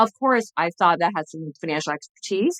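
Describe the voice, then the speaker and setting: Fairly quick speech with a slight Chinese accent in a dry, close sound with no echo. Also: woman. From China, then US. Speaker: former TV journalist and entrepreneur. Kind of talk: podcast interview.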